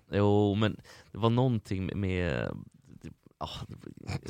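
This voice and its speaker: A man's fairly low, dark and mellow voice with a dry, close sound and no echo. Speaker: podcast host. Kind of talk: casual chat. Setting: studio.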